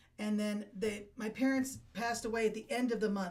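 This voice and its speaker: A woman's fairly high voice at a fairly quick pace, with fairly even intonation, over noticeable background noise. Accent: American. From Appalachian Ohio. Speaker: veteran and estate planning helper. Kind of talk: interview. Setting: studio.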